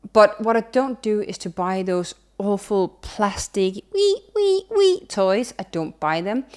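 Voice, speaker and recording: Recorded very cleanly against a silent background, a woman at medium pitch speaks in an animated tone with a Danish accent. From Denmark. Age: 30s. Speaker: sustainability consultant and YouTuber. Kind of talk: casual vlog monologue.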